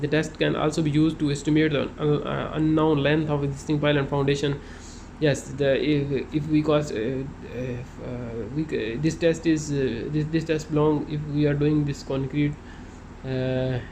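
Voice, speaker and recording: Noticeable background noise and audible room echo surround a man's voice. He has a fairly high pitch and a monotone, flat intonation. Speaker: construction inspector explaining site work. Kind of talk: tutorial. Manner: halting, many fillers; fast.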